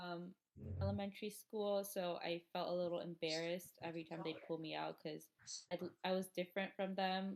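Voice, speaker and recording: Speaking at a moderate pace, a woman with a fairly low pitch keeps her intonation fairly even. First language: Hindi and Urdu. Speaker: interviewee, former ESL student. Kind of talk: interview. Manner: casual, many fillers.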